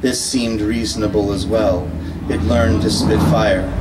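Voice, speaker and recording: A man's fairly low-pitched voice amid noticeable background noise. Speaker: poet. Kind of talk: poetry reading. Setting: live event, audience.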